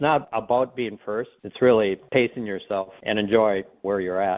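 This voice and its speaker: An ordinary speaking voice with ordinary pitch variation, a moderate pace and big swings in loudness. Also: man, fairly low pitch for a man. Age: 60s. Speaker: guest sharing health testimony. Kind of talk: casual interview chat.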